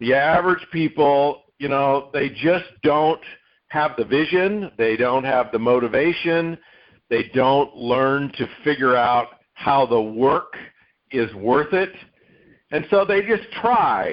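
The delivery is very slow in pace, with lively intonation. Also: man, fairly high pitch for a man, very even loudness. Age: 60s. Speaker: podcast host, network marketing veteran. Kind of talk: interview.

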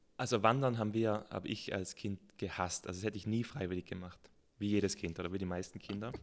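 A man speaks at a very fast pace and a fairly low pitch. His intonation stays fairly even. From South Tyrol. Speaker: mountaineer and mountain farmer. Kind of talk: casual interview.

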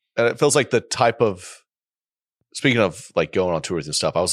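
A man with an American accent, very fast pace and lively intonation, on a very clean recording with a silent background. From Oklahoma. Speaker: comedian. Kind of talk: casual chat.

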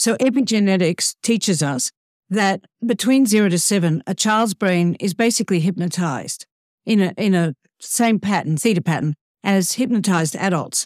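Recorded very cleanly over a silent background, with a dry, close sound and no echo, a woman with an ordinary speaking voice talks at a moderate pace, at medium pitch with ordinary pitch variation. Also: very even loudness. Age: 60s. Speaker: professional speaker. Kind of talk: podcast interview.

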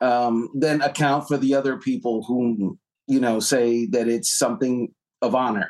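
An unremarkable speaking voice keeps a very even loudness, ordinary pitch variation and a moderate pace. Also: man, medium pitch for a man. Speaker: NFL writer. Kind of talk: sports talk interview.

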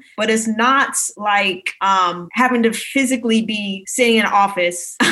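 With an American accent, a woman speaks at a moderate pace and a fairly high pitch, her intonation fairly even over noticeable background noise. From Maryland, US. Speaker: realtor and personal finance influencer. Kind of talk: podcast interview.

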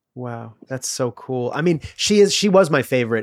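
A man with an unremarkable speaking voice speaks at a fairly high pitch and a moderate pace with lively intonation. The recording is very clean with a silent background, and the sound is dry and close with no echo. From US Midwest (Illinois). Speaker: podcast host. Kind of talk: casual interview chat.

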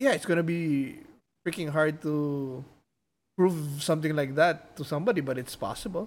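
Over a very clean recording with a silent background, a man uses a normal speaking voice at a moderate pace, with a fairly high pitch and ordinary pitch variation. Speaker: podcast host. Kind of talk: casual chat.

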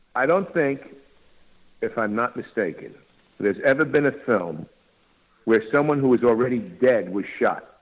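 A man with a New York accent talks with lively intonation and long, frequent pauses. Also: medium pitch for a man, moderate pace. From New York, Long Island. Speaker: actor. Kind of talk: interview.

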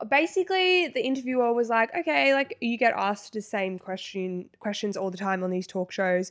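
With an Australian accent, a woman speaks at a moderate pace with hardly any pauses, her fairly high voice swinging very widely in pitch on a very clean recording with a silent background. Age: 20s. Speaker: podcast co-host. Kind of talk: casual chat.

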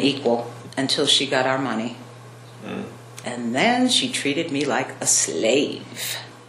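Over noticeable background noise and audible room echo, a woman speaks very slowly in a very deep, low voice. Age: 60s. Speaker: murder suspect. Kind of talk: interview.

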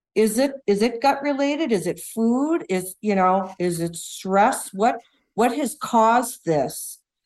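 Fairly slowly, a woman talks with lively intonation at a fairly high pitch. It is a plain, everyday voice. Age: 60s. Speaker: caller, widow. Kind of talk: phone-in consultation.

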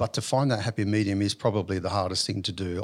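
Here is a man with an Australian accent. His pitch is fairly low and his intonation fairly even. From Western Sydney, Australia. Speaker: business owner. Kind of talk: interview. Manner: hesitant, many fillers.

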